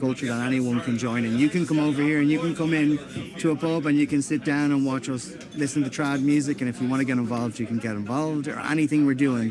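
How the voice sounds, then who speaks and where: With music in the background, a man in a Dublin accent speaks at a very fast pace and a fairly high pitch with fairly even intonation. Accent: Dublin Irish. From Ireland, Dublin. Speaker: band member, musician. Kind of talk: interview. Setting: outdoors.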